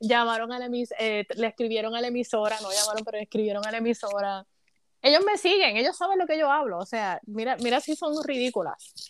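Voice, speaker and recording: A woman's fairly high, lively voice at a fairly quick pace, in a very clean recording with a silent background. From Puerto Rico, Caguas. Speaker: sports commentator. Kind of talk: casual chat.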